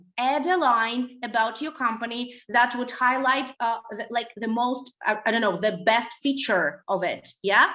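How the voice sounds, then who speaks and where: Her high pitch carries ordinary pitch variation as the woman talks at a fairly slow pace. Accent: Russian. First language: Russian. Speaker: language school director and trainer. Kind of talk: webinar lecture. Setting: online webinar. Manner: hesitant, many fillers.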